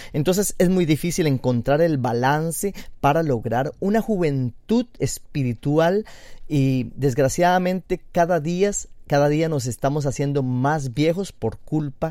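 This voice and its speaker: A man's very slow speech, fairly high in pitch, with a dark, mellow tone, lively intonation, and a very clean recording against a silent background. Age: 40s. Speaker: internet radio host. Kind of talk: casual radio talk on diet and health.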